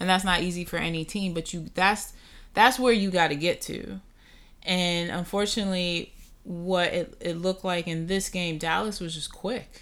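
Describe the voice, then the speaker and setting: A woman speaks with a New York accent. Her intonation stays fairly even. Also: medium pitch for a woman, moderate pace. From Brooklyn, New York. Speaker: sports podcast co-host. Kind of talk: casual chat.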